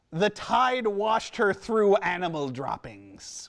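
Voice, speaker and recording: Delivered at a fairly slow pace, this put-on character voice sits at a middle pitch. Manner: playful, put-on.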